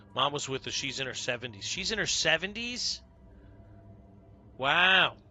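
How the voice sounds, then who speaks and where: This man's fairly high voice swings very widely in pitch at a moderate pace, with noticeable background noise behind him. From New York. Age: 50s. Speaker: video game streamer. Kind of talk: live gameplay stream chat. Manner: casual, conversational.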